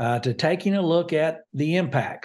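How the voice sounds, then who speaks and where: The background is quiet. In it, a man talks with an American accent. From Kentucky. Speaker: retired state police officer, drug policy coordinator. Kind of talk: casual interview.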